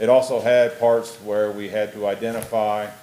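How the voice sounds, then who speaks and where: A man's fairly low voice amid noticeable background noise. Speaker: school district administrator presenting policy. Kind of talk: board meeting report. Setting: school board meeting. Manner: quiet.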